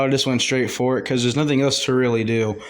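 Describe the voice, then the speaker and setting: A man is talking. The pitch is medium. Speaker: gaming YouTuber. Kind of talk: gameplay voiceover commentary. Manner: casual with many fillers; fast.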